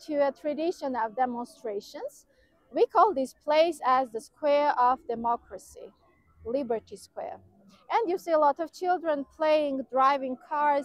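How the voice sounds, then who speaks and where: Her high pitch and lively intonation mark this woman speaking with an Armenian accent. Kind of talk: outdoor walking-tour commentary, pointing out landmarks to camera. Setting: outdoors, walking through city squares. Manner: enthusiastic, descriptive, loosely run-on phrasing; slightly halting non-native English with fillers.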